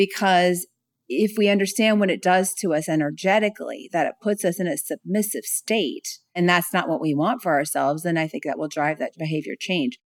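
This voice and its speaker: Speaking in an ordinary speaking voice with an American accent, a woman talks at a fairly low pitch and a fairly quick pace with ordinary pitch variation, in a very clean recording with a silent background and a dry, close sound with no echo. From California. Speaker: speaker and author on self-love. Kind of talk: interview conversation.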